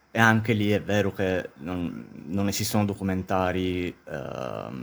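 A man's very deep, low-pitched voice. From Sicily, Syracuse. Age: 30s. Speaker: film graduate working in audiovisual production. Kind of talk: podcast interview.

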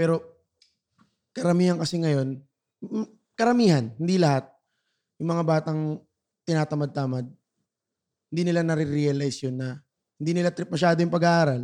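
A man with a dark, mellow tone and a fairly high pitch talks at a fairly quick pace, with ordinary pitch variation and long, frequent pauses. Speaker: podcast co-host. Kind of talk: casual chat.

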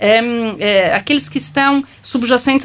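A woman speaks with fairly high pitch and ordinary pitch variation in an unremarkable speaking voice. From Brazil. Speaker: law professor. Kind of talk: panel discussion.

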